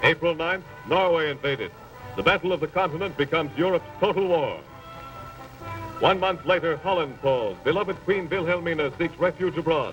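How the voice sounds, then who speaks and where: Music plays behind a man talking at a fairly quick pace, his pitch high with ordinary variation. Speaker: newsreel narrator. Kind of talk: newsreel narration.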